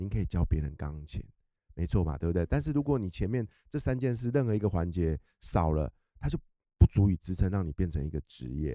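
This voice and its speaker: A man's very deep, low voice with a dark, mellow tone and very wide pitch swings, at a fairly quick pace, dry and close with no echo, on a very clean recording with a silent background. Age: middle-aged. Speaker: author. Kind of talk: interview. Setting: studio.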